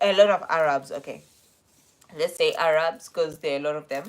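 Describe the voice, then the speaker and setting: Here a woman is speaking. She has a South African accent. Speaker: vlogger. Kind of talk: casual live stream chat. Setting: live stream. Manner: casual, chatty.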